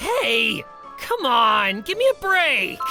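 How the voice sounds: A woman's cartoonish character voice, bright and sharp, fairly high in pitch with big swings, at a slow pace over faint music in the background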